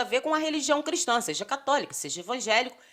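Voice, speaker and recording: In a very clean recording with a silent background, a woman talks at a very fast pace in a raised, projected voice, high in pitch and bright and sharp in tone. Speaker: political commentary vlogger. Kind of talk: casual vlog commentary.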